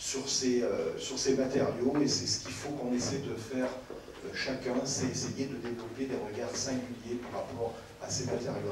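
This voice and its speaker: With noticeable background noise and audible room echo, a man talks at a moderate pace in a flat, monotone intonation. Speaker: speaker, teacher. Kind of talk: panel talk. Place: stage.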